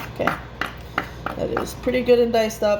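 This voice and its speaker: Over noticeable background noise and audible room echo, a woman speaks very fast at a fairly high pitch. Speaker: home cooking vlogger. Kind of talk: cooking tutorial. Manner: loud.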